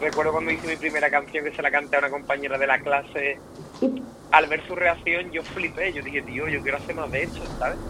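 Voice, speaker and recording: Over noticeable background noise, a man with an Andalusian accent and fairly high pitch speaks at a very fast pace in a monotone, flat intonation. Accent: Cádiz. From Andalusia, Rota (Cádiz). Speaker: pop singer. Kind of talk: interview.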